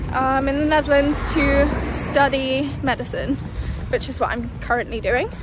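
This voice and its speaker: Amid noticeable background noise and audible room echo, a woman speaks at a moderate pace in a British accent. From London, England. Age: 20s. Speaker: medical student, vlogger. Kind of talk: casual chat. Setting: outdoors, walking.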